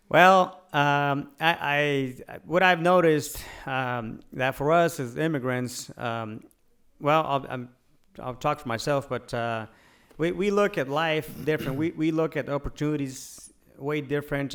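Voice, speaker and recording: Someone speaks with a Spanish accent and ordinary pitch variation. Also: man. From Mexico, moved to US at eleven. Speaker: realtor and real estate investor. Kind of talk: podcast interview. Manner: halting, many fillers.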